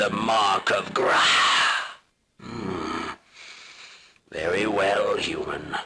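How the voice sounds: A put-on character voice comes through raspy. The pace is very slow. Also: man.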